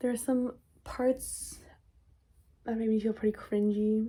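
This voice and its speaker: The delivery is monotone and flat, somewhat breathy. Its tone is dark and mellow. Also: woman. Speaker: vlogger. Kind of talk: casual vlog monologue. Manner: hesitant, filler-heavy with repetitions.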